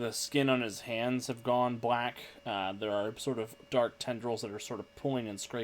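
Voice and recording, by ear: Natural read-aloud voice with fairly even intonation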